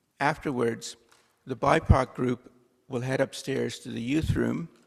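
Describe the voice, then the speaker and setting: A man speaks at a fairly slow pace, his pitch in the medium range. His intonation stays fairly even, with vocal fry. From India. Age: 60s. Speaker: church worship associate. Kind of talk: church announcements and introduction. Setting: church service. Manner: formal.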